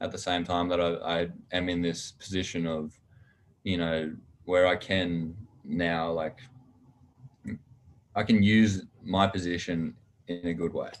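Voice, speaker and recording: A man with an Australian accent speaks in a very deep, low pitch with monotone, flat intonation. His pace is fairly slow, with long, frequent pauses. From Australia, Canberra. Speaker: college football player. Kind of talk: casual chat.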